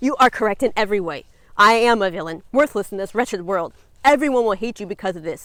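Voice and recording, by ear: Reading aloud in a natural voice, with pitch shifting in an ordinary way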